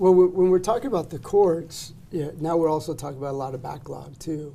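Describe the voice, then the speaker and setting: A man with an ordinary speaking voice talks at a fairly quick pace with hardly any pauses, fairly high pitch and big swings in loudness. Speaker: immigration lawyer. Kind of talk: casual interview chat.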